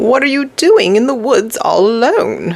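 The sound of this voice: In a put-on character voice, the high, growling speech swings very widely in pitch at a moderate pace.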